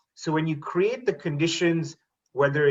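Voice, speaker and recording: A man with a Canadian accent has a fairly high pitch. His voice sounds somewhat breathy. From Canada, Toronto area (moved from India at six). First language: Tamil. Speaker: teacher and school board trustee. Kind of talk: panel talk on video webinar. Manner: hesitant, with many fillers.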